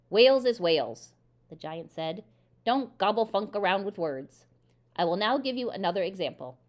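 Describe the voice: Lively intonation marks this plain reading aloud.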